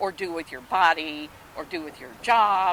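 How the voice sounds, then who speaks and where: A normal speaking voice from a woman with an American accent and ordinary pitch variation. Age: 60s. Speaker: rally attendee. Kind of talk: street interview.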